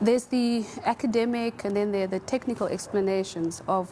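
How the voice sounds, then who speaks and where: A soft-spoken woman talks at a fairly quick pace in a medium pitch, her intonation fairly even, with noticeable background noise behind her. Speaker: panelist. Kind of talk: panel discussion. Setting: studio with audience.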